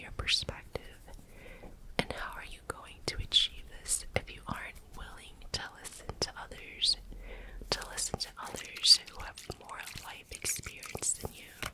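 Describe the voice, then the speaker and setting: A woman whispers in a calm, relaxed tone with big swings in loudness. Background noise is noticeable. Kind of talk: personal story told casually to the listener. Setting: close-mic home studio ASMR recording. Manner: soft, calm, relaxed.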